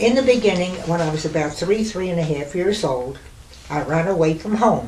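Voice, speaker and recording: A woman with an American accent and fairly low pitch, lively intonation at a moderate pace, with noticeable background noise and audible room echo. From New York City. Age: 90s. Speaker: retired burlesque dancer. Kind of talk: oral history reminiscence.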